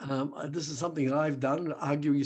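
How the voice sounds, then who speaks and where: The speaker is a man. His accent is Australian. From Australia, Melbourne. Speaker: rabbi and human rights activist. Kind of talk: online talk with slides. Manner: hesitant, conversational.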